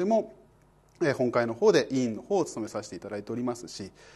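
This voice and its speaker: Talking at a fairly quick pace, a man swings his pitch very widely. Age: 40s. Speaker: law exam prep lecturer; exam prep instructor. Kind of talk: self-introduction talk to exam students; lecture. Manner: casual filler-heavy delivery. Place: studio. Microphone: lapel.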